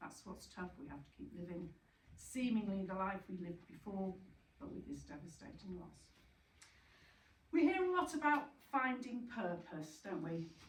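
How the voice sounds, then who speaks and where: A woman of medium pitch speaks at a moderate pace with lively intonation, vocal fry and big swings in loudness. Long, frequent pauses break up her speech, and room echo is audible. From Yorkshire, northern England. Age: 60s. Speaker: bereaved parent speaker, retired teacher. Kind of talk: talk to support group. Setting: retreat venue with audience. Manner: hesitant, many fillers.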